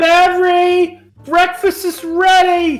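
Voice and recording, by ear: A put-on character voice speaks at an extremely high pitch and a very slow pace. The intonation stays monotone and flat, with faint music in the background.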